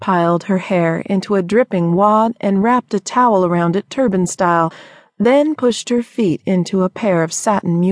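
Reading in a natural voice, the speaker's pitch varies in an ordinary way.

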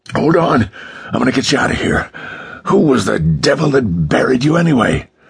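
A man's put-on character voice at a moderate pace, medium in pitch, with a husky, rough edge, vocal fry and big pitch swings

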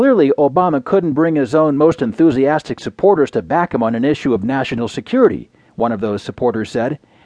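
In an unremarkable speaking voice, the speaker goes at a fairly quick pace with lively intonation and hardly any pauses. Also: man, fairly high pitch for a man. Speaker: newsreader. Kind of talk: formal scripted news reading of newspaper front-page stories. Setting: studio. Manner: measured, even-paced and crisp, with neutral authoritative delivery; formal and precise, clearly enunciating names and headlines.

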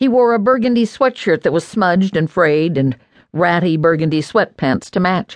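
A woman with a fairly low pitch speaks at a moderate pace, her warm, dramatic tone full of lively intonation. The sound is dry and close with no echo, and the background is quiet. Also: very even loudness. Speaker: audiobook narrator. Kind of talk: audiobook narration of a memoir, first person. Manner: dramatic, measured storytelling with shifts into a child's voice for quoted dialogue; reflective, warm, expressive pacing with pauses for effect.

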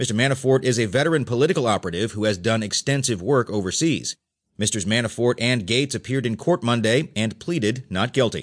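A man's medium-pitched speech at a very fast pace, with ordinary pitch variation, over a quiet background. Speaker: audiobook narrator reading newspaper stories. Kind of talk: formal newsreading, audiobook-style. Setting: studio recording. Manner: formal, measured, even-paced newsreader delivery; neutral, impersonal, clearly enunciated.

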